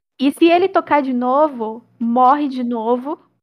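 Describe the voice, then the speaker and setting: The woman speaks with a high pitch. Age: 20s. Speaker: podcast co-host, translator. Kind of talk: casual chat.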